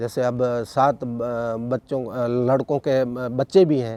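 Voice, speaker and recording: This voice belongs to a man. It has a medium pitch. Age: 60s. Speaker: folk musician. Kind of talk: interview. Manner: halting.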